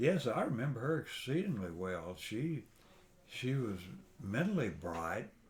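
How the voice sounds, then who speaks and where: A man with an American accent, medium in pitch and somewhat breathy, at a fairly slow pace with very wide pitch swings. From East Texas. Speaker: grandfather telling his life story. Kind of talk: oral history interview.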